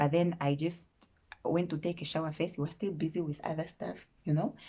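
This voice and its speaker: Her voice has a dark, mellow tone and is somewhat breathy. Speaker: vlogger. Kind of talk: storytime chat. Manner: animated.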